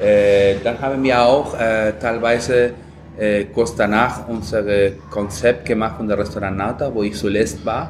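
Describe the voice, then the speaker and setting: Speaking very slowly with a Peruvian accent, a man keeps a medium pitch and fairly even intonation amid noticeable background noise and audible room echo. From Peru, Lima. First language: Spanish (speaking German). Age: 30s. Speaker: chef. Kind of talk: casual interview. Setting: food festival, café.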